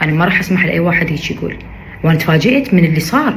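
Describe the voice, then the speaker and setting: A woman with an Iraqi accent speaks at a fairly low pitch with ordinary pitch variation, over noticeable background noise and audible room echo. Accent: Iraqi Arabic, kept. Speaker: social media influencer. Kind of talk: video statement responding to criticism. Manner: emphatic, repetitive.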